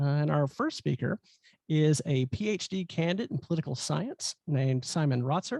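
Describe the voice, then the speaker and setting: The words come at a moderate speed. An accent from the Southern US runs through the speech. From US South. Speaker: event host. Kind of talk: speaker introduction. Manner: hesitant, many fillers.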